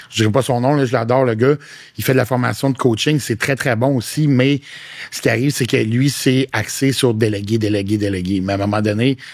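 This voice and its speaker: This is a plain, everyday voice. A man talks at a medium pitch and a fairly quick pace with fairly even intonation. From Quebec (Quebec City). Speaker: fitness coach and content creator. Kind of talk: podcast interview. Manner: casual, slangy.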